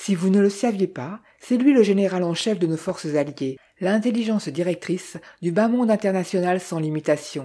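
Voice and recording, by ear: A natural read-aloud voice with ordinary pitch variation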